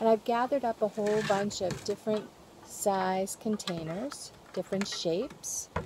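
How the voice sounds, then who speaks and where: Over noticeable background noise, a woman talks at a fairly slow pace in dry sound with no echo. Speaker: presenter. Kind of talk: tutorial. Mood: cheerful, friendly. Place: garden. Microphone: phone near.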